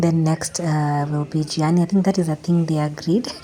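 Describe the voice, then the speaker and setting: Against noticeable background noise, a woman talks at a moderate pace and a fairly low pitch. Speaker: mom vlogger. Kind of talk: vlog narration.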